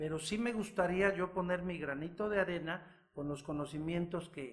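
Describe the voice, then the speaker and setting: Ordinary pitch movement in a man's high voice, delivered at a moderate pace. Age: 60s. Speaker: physician and author. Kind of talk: interview.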